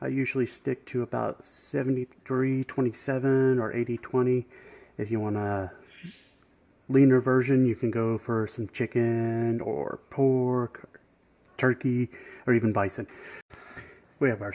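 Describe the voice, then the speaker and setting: A man with an American accent speaks with fairly even intonation and long, frequent pauses. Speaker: home cook, author. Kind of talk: cooking demonstration. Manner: casual, friendly.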